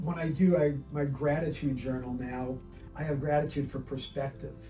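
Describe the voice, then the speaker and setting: Music plays behind a man with a fairly high pitch. He talks at a fairly slow pace with fairly even intonation. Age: 60s. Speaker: patient. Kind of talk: testimonial interview answer.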